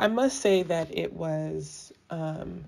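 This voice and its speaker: Dark and mellow in tone, a woman's voice sits at a very deep, low pitch. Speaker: celebrity news commentator. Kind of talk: casual chat.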